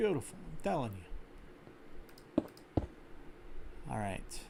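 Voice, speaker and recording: A man speaks in an American accent, with long, frequent pauses. Audible room echo surrounds his voice. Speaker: gaming streamer. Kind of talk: live gameplay commentary. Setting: live stream. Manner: casual, with fillers and restarts. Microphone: slight echo.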